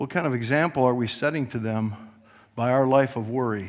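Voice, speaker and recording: At a medium pitch and moderate pace, a man talks with fairly even intonation. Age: 60s. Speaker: pastor. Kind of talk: sermon.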